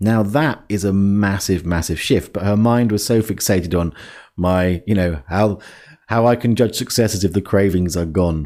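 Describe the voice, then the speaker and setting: A man talks at a moderate pace with a fairly low pitch and ordinary pitch variation. The recording is very clean, with a silent background. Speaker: life coach podcast host. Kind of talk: podcast monologue. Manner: halting, with fillers.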